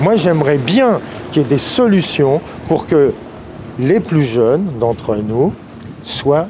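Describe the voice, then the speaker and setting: A man's fairly high voice, very slow and lively in intonation, over noticeable background noise. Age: 60s. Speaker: customer interviewed in street, retired guitar teacher. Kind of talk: vox pop interview.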